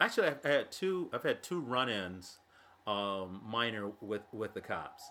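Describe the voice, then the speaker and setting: This man talks at a fairly slow pace with an American accent. His tone is bright and sharp. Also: medium pitch for a man, lively intonation. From Illinois, US Midwest (Thomson area). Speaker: guest geocacher. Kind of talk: casual chat. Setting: studio.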